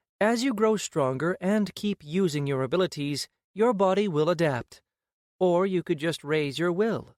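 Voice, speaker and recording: A man in a put-on character voice at a moderate pace, on a very clean recording with a silent background. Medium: read story. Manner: monotone, formal.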